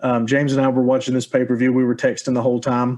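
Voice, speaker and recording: A man with an American accent at a very fast pace, medium in pitch. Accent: hillbilly. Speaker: podcast host. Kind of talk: casual chat.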